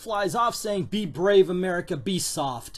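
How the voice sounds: The speaker uses a natural reading voice with fairly even intonation.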